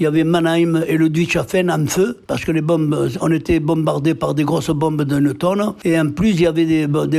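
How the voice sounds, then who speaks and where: A man with a fairly high pitch speaks at a moderate pace in monotone, flat intonation over noticeable background noise. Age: 80s+. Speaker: war veteran, former deportee. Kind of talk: interview answer. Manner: hesitant.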